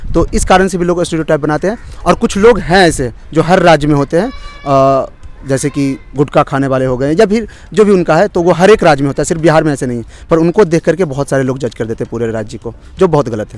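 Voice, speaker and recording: Music plays in the background as a man talks with lively intonation. His pitch sits fairly high. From Bihar, India. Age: young. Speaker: interviewee. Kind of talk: street interview.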